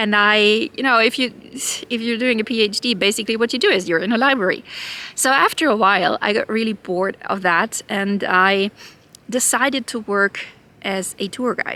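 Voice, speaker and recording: A woman with a German accent, a fairly high pitch, ordinary pitch variation and a moderate pace. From Germany. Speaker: YouTuber. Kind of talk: personal vlog monologue. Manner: halting.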